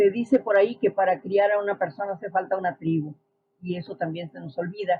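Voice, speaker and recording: Somewhat breathy speech comes at a fairly quick pace, with ordinary pitch variation and big swings in loudness. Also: woman, medium pitch for a woman. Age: 60s. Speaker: social science expert. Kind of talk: podcast interview.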